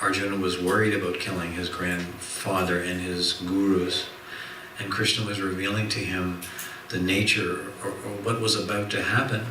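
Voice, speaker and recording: Room echo and noticeable background noise surround this voice. A man speaks at a fairly low pitch. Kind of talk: religious lecture. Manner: soft-spoken. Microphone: too quiet for listeners.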